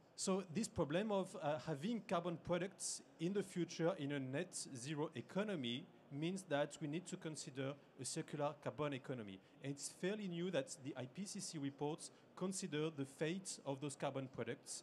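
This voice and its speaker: Light background noise sits behind a man who talks at a moderate pace, his pitch varying in an ordinary way. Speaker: conference presenter. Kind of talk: lecture. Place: hall.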